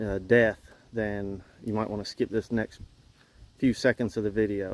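A man speaks in a dry recording with no echo. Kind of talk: casual vlog chat. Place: farm machine. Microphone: phone near.

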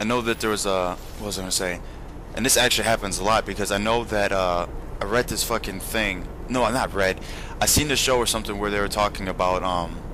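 Noticeable background noise is present. A man speaks at a fairly low pitch and a very fast pace. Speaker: video game commentator. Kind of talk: casual let's-play commentary over gameplay. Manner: excitable, profane, blurting reactions like oh shit mid-sentence; rambling, filler-heavy, loses train of thought.

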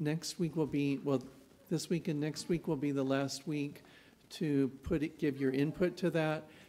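A man with a fairly high pitch and a dark, mellow tone, fairly even intonation, very even loudness and a fairly slow pace. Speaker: announcements leader. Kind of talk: announcements. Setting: church. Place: church. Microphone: podium.

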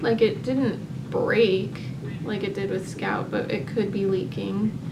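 A woman speaks at a very slow pace against noticeable background noise. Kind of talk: casual vlog chat.

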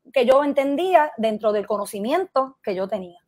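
A woman's lively intonation stands out over a quiet background. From Puerto Rico and US mainland. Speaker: political commentator. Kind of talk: interview. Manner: halting. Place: home room. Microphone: earbuds.

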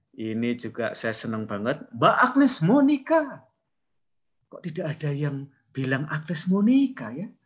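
Speaking at a fairly slow pace, a man with a fairly high, somewhat breathy voice makes very wide pitch swings. His loudness also swings widely. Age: middle-aged. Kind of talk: online class lecture. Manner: animated.

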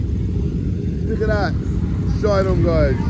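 The recording is dry with no echo, but loud background noise runs underneath. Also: man. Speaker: vlogger. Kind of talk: casual vlog chat. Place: street. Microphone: phone near.

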